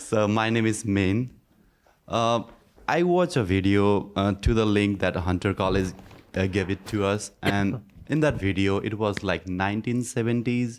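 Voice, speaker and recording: On a very clean recording with a silent background, a man with a non-native accent speaks in a fairly low pitch with ordinary pitch variation. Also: moderate pace, very even loudness. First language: not English. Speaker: student. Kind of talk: audience question. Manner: halting.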